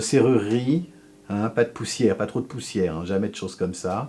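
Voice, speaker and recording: This man has a dark, mellow tone and a lively intonation. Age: 60s. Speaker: sculptor. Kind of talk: interview. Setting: home workshop. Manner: halting, many fillers.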